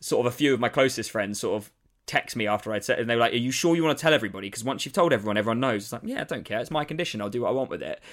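A man with a southern English accent rattles along at a very fast pace with hardly any pauses, at a medium pitch with ordinary pitch variation. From eastern England, Saffron Walden near Cambridge. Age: 20s. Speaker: comedian. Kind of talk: casual interview. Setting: video call.

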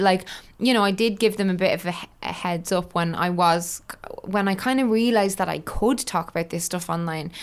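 In an Irish accent, a woman speaks at a fairly quick pace with medium pitch and ordinary pitch variation. The recording is very clean, with a silent background. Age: 30s. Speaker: online content creator and author. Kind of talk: casual interview chat.

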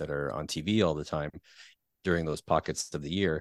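A man with a Canadian accent speaks in a very deep, low pitch with ordinary pitch variation. The sound is dry and close with no echo, and his pace is moderate. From Ontario, Canada (Peterborough). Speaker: podcast host. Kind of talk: casual chat. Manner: halting, many repetitions and fillers.

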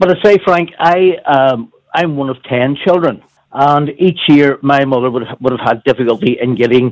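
With a Northern Irish accent, a man speaks at a moderate pace in a fairly high pitch with ordinary pitch variation. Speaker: caller. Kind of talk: radio phone-in chat. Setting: phone call. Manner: jokey.

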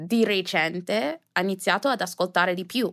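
The speaker is a woman. She talks with an English accent. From US, New Jersey, early years in Jamaica. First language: English (speaking Italian). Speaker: influencer. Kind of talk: interview. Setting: studio.

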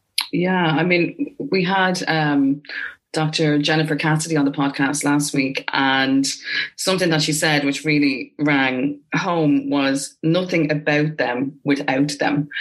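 A woman in an Irish accent with a very deep, low pitch, a very slow pace and very even loudness. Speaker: podcast host. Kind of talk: casual interview chat. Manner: animated.

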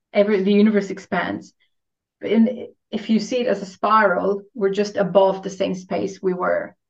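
A woman's medium-pitched voice, monotone and flat, with vocal fry. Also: moderate pace. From Romania (Transylvania). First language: Romanian. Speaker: spiritual coach. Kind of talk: casual chat.

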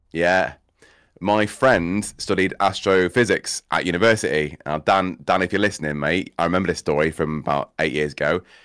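A man with a Cheshire accent speaks at a moderate pace in a very deep, low pitch, with ordinary pitch variation. The recording is very clean with a silent background and a dry, close sound with no echo. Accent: northern English (Cheshire). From England, Cheshire. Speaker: streamer and theatre school owner. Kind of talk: casual chat.

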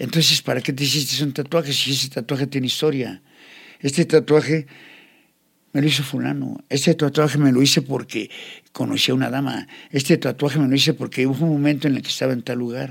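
At a fairly quick pace, a man speaks in a fairly high, monotone voice with flat intonation and vocal fry. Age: 60s. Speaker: tattoo artist. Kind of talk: life story interview.

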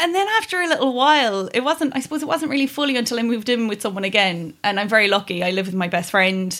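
Talking at a very fast pace with hardly any pauses, a woman in a Kerry accent uses a fairly high voice that swings very widely in pitch. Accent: Kerry Irish. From Ireland, County Kerry. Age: 30s. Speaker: podcast guest. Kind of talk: casual chat.

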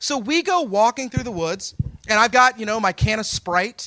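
A raised, projected voice with a bright, sharp tone comes at a moderate pace in a very clean recording, dry and close with no echo and a silent background. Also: man. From Texas. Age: 40s. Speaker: storyteller. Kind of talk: live storytelling. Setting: stage with audience.

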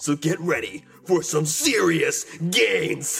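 Over music in the background, a man with a raspy, high-pitched voice speaks at a very slow pace. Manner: exasperated, theatrical.

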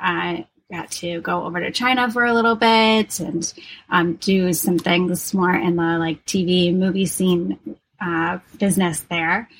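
At a fairly slow pace, a woman speaks in an unremarkable speaking voice of medium pitch with ordinary pitch variation. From Wisconsin. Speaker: harpist, yoga instructor and doula. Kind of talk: casual interview.

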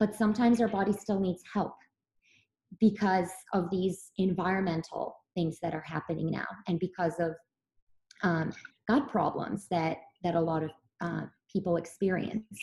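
At a moderate pace, a woman speaks in a somewhat breathy, dark and mellow voice at a medium pitch with fairly even intonation. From Serbia. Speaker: physician. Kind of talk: interview.

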